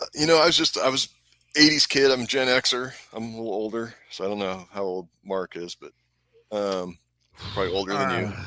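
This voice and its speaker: A man with a medium pitch talks at a moderate pace in a normal speaking voice, using lively intonation and big swings in loudness. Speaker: gun accessory maker. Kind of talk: casual chat.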